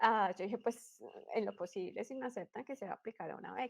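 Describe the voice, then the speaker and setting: In a plain, everyday voice, a woman speaks at a fairly high pitch and fairly quick pace with ordinary pitch variation, the sound dry and close with no echo. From Colombia, Bogotá. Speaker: astrophysics doctoral student. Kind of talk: interview.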